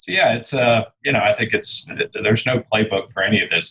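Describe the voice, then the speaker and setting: The speaking is fairly quick, and there is noticeable background noise. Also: man. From England, then Houston from age six. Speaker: real estate executive. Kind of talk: interview. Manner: halting, many fillers and repeats.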